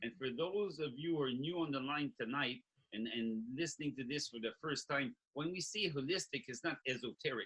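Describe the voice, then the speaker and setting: A man's ordinary speaking voice, fairly high in pitch, at a moderate pace with lively intonation and a dry, close sound with no echo. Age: 60s. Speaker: health product creator. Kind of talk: sales pitch.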